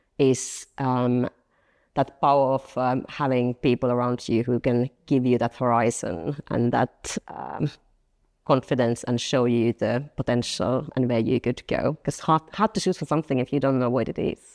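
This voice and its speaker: Against a quiet background, a woman with a Finnish accent speaks at a moderate pace in a very deep, low pitch with ordinary pitch variation, the sound dry and close with no echo. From Finland, small town. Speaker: marketing director. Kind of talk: interview. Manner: hesitant, many fillers.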